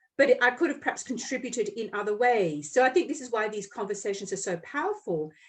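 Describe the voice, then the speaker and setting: A woman at a very fast pace, with fairly high pitch and very wide pitch swings. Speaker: podcast host and Reiki healer. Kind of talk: casual chat.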